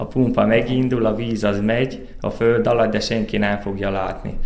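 A man speaks at a moderate pace in a medium pitch with flat, monotone intonation, against noticeable background noise and audible room echo. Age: young. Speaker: farmer. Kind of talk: interview.

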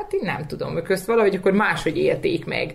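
Clear background noise fills the recording. Over it, a woman talks. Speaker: young parent. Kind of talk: interview.

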